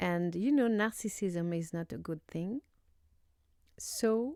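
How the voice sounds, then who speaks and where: A woman in a French accent, dark and mellow in tone, at a very slow pace, in a very clean, dry, close recording with a silent background and no echo. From France. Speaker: YouTuber. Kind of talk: casual commentary. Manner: halting, many fillers.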